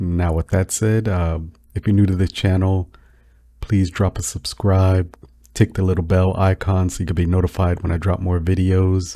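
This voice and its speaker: In a very clean recording with a silent background, a man with a very deep, low pitch and a dark, mellow tone speaks at a moderate pace in a relaxed tone with monotone, flat intonation. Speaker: crypto YouTuber. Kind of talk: casual chat. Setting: home recording, no fan. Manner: halting.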